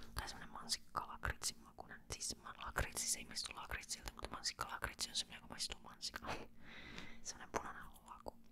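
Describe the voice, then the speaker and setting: A woman whispering at a very fast pace amid noticeable background noise. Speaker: ASMR creator. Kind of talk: ASMR casual chat to camera. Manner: whispered.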